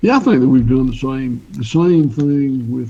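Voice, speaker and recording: A man with a Southern US accent. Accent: Southern US (Georgia). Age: 60s. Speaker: farmer. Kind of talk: interview. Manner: halting, many fillers.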